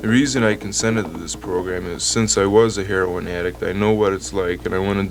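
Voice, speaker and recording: Lively intonation at a very fast pace, over noticeable background noise. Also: man. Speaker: recovering heroin addict telling his story. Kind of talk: radio program interview answer. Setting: vintage 1972 radio recording.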